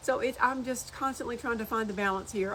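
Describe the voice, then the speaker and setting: A woman talks very fast at a fairly high pitch with fairly even intonation. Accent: Southern US. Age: 60s. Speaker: social media creator. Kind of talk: casual chat. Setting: outdoors on porch.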